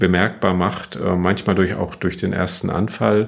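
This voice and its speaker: This man speaks in a flat monotone at a very deep, low pitch. His pace is fairly slow. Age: 60s. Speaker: neurologist, chief physician. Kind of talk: interview.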